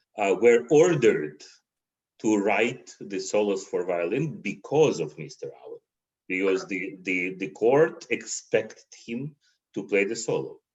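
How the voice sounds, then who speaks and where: Speaking with a Russian accent, a man makes very wide pitch swings and big swings in loudness. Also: medium pitch for a man, fairly slow pace. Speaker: concert violinist. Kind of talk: interview conversation. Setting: livestream video call. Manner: halting, repeats words.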